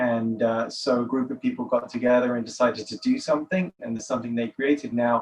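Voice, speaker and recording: A man with a London accent talks at a very fast pace in a medium pitch, with hardly any pauses and fairly even intonation. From England, London. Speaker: nonprofit director, author. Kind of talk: podcast interview.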